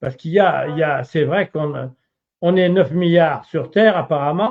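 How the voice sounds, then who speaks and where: This man's voice is fairly high in pitch. He talks at a very slow pace. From Charente, western France. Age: 70s. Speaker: retired farmer and laborer. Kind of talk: interview. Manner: halting.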